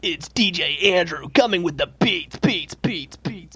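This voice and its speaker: Over music in the background, a man puts on a character voice at a high pitch. He speaks at a fairly slow pace with lively intonation. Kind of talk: radio announcer voice. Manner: hyped, energetic.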